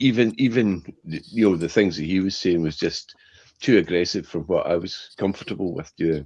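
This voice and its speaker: A man with a very deep, low pitch, ordinary pitch variation and a moderate pace. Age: 60s. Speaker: motorcycle vlogger. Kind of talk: casual chat. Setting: live stream video call.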